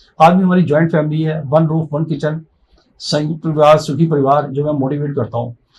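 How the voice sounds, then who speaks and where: A somewhat breathy man speaks at a fairly high pitch and a moderate pace, his intonation monotone and flat. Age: 60s. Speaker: motivational speaker and life coach. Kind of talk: podcast interview, personal story.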